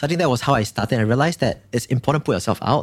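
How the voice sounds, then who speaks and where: A man with lively intonation. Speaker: startup founder and HR consultant. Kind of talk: interview conversation. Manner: fast talker.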